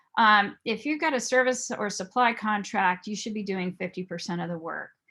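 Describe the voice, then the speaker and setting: On a very clean recording with a silent background, a woman with an unremarkable speaking voice talks at a moderate pace and medium pitch, using ordinary pitch variation. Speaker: private investigator and fraud examiner. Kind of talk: presentation.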